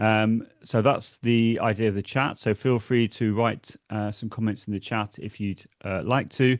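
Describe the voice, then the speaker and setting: A man with a British accent, fairly slow and monotone with flat intonation, in a dry, close sound with no echo against a quiet background. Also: medium pitch for a man, hardly any pauses. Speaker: education technology consultant, former teacher. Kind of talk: webinar presentation. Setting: online webinar. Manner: friendly, with many filler words.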